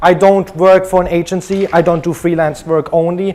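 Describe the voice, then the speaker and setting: Against noticeable background noise, a man talks at a moderate pace with a high pitch and fairly even intonation. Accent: German. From Germany. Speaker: conference speaker, web developer. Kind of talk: conference talk. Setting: stage with audience.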